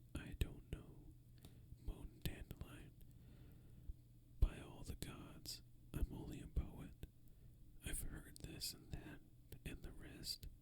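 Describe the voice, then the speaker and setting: Someone whispers at a very slow pace. Long, frequent pauses break up the speech. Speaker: ASMR creator. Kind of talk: read story. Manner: whispered.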